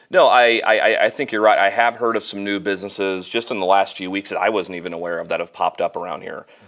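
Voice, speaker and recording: This man speaks at a very fast pace with hardly any pauses. He has a Midwestern American accent. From Central Illinois (Normal). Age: 30s. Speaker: financial planner. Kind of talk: casual interview.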